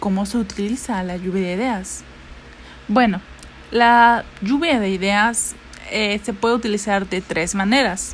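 Speaking fairly slowly in a medium pitch, a woman leaves long, frequent pauses with ordinary pitch variation. Noticeable background noise is present. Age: 20s. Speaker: student presenter. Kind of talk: educational talk. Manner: occasionally halting.

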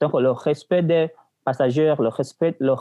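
A man with a plain, everyday voice, fairly slow pace and ordinary pitch variation. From Burundi. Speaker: university student. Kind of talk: casual chat.

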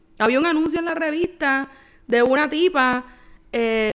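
A woman's high-pitched voice, lively in intonation, at a fairly slow pace. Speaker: podcast co-host. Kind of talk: casual chat.

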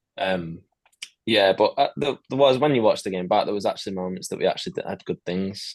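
A man with a fairly low pitch and ordinary pitch variation has an ordinary speaking voice. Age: 20s. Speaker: professional footballer. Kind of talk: casual chat.

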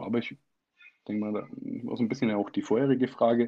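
A man speaks at a fairly quick pace. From Bavaria, Middle Franconia. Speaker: local politician. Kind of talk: interview.

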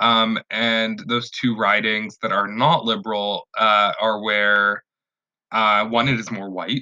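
A man with a Western Canadian accent, very slow and monotone in flat intonation. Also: medium pitch for a man. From Canada, Vancouver. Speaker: political podcast co-host. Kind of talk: casual chat.

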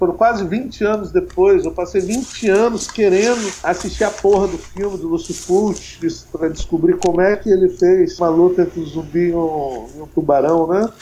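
A man talks in a high pitch with lively intonation and hardly any pauses. There is noticeable background noise. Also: moderate pace. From Brazil, Espírito Santo. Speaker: filmmaker. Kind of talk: interview. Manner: animated.

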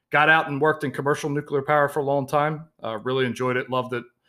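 An American accent marks this man's bright, sharp tone, with fairly even intonation on a very clean recording with a silent background. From Baltimore, Maryland, US. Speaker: financial planner and podcast host. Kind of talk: podcast intro monologue.

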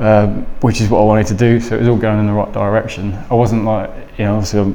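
With an East Midlands accent, a man speaks at a fairly quick pace and fairly low pitch amid audible room echo and noticeable background noise. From Lincolnshire Fens, England. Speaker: jiu-jitsu practitioner and musician. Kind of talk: casual chat.

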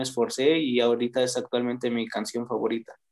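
The speaker is a man with a medium-pitched voice. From Mexico, Toluca. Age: young. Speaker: rapper and sociology student. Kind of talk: casual interview. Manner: halting, many fillers.

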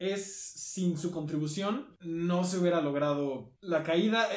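Noticeable background noise and audible room echo surround a man speaking in a high pitch. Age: 20s. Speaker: podcast co-host. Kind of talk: casual chat.

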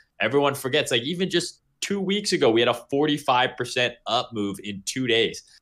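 Fairly high for a man, this unremarkable speaking voice keeps a moderate pace with hardly any pauses, on a very clean recording with a silent background. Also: lively intonation. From Canada. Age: 20s. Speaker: crypto trader. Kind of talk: podcast interview.

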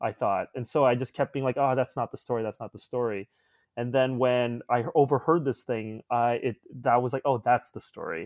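A man with a Canadian accent and an ordinary speaking voice, medium in pitch, fairly quick and fairly even, on a very clean, dry, close recording with a silent background and no echo. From suburbs of Toronto, Canada. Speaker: filmmaker. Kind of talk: casual chat.

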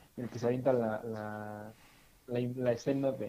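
Monotone, flat intonation from a man, his tone dark and mellow, his pitch medium. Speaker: podcast co-host. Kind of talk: casual chat. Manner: halting, many fillers and repetitions.

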